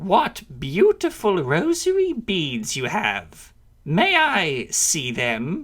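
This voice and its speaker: A man puts on a high-pitched character voice and speaks at a very slow pace. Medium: read story. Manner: sinister, mocking.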